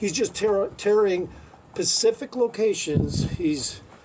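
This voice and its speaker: A man speaks over noticeable background noise. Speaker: calisthenics enthusiast. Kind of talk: casual talk to camera. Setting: outdoors. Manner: profane, rambling.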